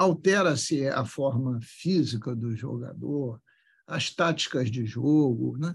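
At a very slow pace, a man with a fairly high, somewhat breathy voice speaks with lively intonation. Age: 70s. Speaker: politician. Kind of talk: interview.

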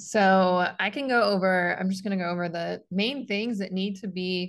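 In a normal speaking voice, a woman talks at a moderate pace and a medium pitch with fairly even intonation. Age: 20s. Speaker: sports dietitian and former gymnast. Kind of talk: interview.

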